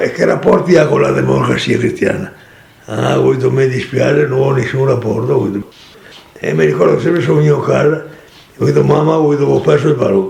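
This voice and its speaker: Over noticeable background noise, a man talks at a fairly quick pace broken by long, frequent pauses. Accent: Venetian. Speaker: former worker, communist laborer. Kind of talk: interview answer. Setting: at home.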